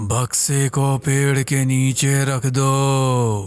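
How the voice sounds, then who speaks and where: A man performs a put-on character voice at a medium pitch. His intonation stays monotone and flat. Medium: audio drama. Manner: terse, commanding.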